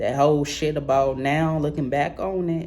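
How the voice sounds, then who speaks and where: Audible room echo accompanies this man as he talks at a moderate pace. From New Orleans, Louisiana. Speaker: sports vlogger. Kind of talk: casual monologue vlog. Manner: slurred; halting, repetitive.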